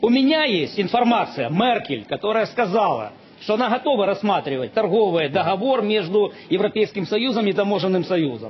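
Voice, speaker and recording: Over noticeable background noise, a man with a high pitch talks at a fairly quick pace, his intonation lively and his loudness very even. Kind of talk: heated debate.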